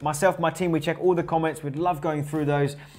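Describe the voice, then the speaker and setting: With noticeable background noise, a man is speaking. He talks at a very fast pace. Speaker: online marketing coach. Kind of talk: business tutorial vlog. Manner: casual, with fillers and repeated words.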